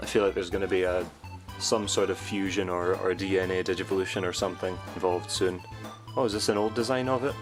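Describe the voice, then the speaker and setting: Music plays in the background. A man speaks with a fairly low pitch and ordinary pitch variation. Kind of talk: casual unboxing review talk.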